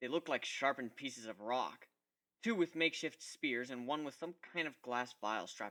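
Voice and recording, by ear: The surroundings are quiet. A text is read aloud in a natural voice.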